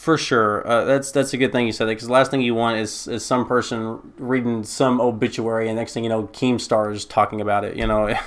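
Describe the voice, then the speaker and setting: Monotone, flat delivery from a man at medium pitch, fairly quick and with hardly any pauses. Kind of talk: podcast host interview. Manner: casual, conversational.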